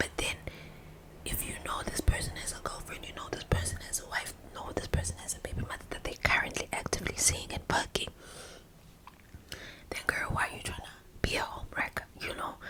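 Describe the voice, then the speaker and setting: Against noticeable background noise, a woman whispers in a relaxed tone, her loudness swinging widely between long, frequent pauses. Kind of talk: casual ASMR gossip to camera. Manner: whispered, relaxed.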